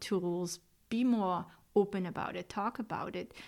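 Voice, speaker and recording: On a very clean recording with a silent background, a woman with a Swiss accent speaks at a medium pitch. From Switzerland. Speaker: medium and podcast host. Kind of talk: casual podcast talk.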